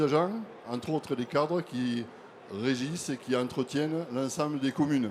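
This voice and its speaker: Spoken in a Toulouse accent, the voice moves at a moderate pace with ordinary pitch variation. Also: man. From southern France, Toulouse. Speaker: association vice president, conference moderator. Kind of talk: conference talk.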